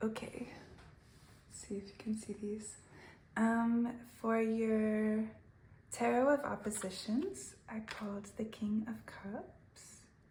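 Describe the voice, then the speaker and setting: Somewhat breathy woman's voice, fairly high in pitch yet dark and mellow in tone, at a very slow pace with long, frequent pauses, ordinary pitch variation and audible room echo. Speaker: tarot reader. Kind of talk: tarot reading. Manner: halting.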